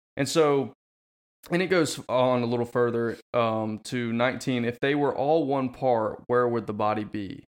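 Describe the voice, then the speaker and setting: A man talks at a moderate pace in an unremarkable speaking voice. His pitch is medium, with ordinary variation. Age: 20s. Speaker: podcast co-host. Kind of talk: casual chat.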